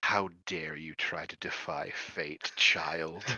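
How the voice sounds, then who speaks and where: A man speaks in a husky, put-on character voice. His pitch is very deep and low, and his pace is very slow. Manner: imperious.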